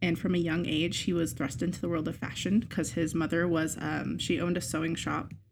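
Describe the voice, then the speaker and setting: At a fairly quick pace, a woman speaks with a fairly low pitch and vocal fry. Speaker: podcast co-host. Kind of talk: casual chat.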